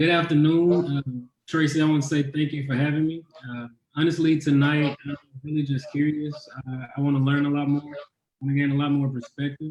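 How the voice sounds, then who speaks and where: Fairly high in pitch, a man talks at a fairly quick pace. His intonation is monotone and flat. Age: young. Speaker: young adult panelist. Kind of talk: panel discussion.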